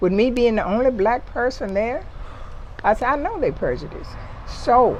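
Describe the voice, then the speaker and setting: At a moderate pace, a woman talks with noticeable background noise around her. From Mississippi, US South. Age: 70s. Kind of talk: conversational storytelling interview.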